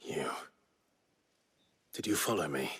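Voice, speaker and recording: Raspy, whispering put-on character voice from a man. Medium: video game. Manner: measured, grave.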